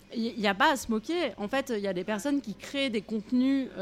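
A woman speaks at a fairly slow pace. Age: 40s. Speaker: activist. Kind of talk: interview. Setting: café. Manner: halting, many fillers.

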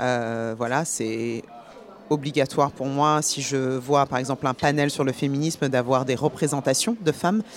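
Noticeable background noise beneath a woman's very deep, low voice, fairly slow in speed, with ordinary pitch variation. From France, born in Paris. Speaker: actress and film producer. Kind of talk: radio interview.

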